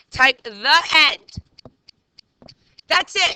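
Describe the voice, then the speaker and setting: At a very slow pace, a woman talks in a raised, projected voice with a bright, sharp tone. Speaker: teacher. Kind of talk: classroom lesson. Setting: classroom. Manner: loud; animated.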